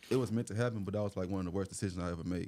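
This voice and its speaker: Very fast and fairly even in intonation, a man with an American accent talks in a dark, mellow tone at a fairly low pitch. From Atlanta, Georgia (US South). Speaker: folk artist. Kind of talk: casual interview chat. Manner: relaxed, conversational with fillers; stutters at times.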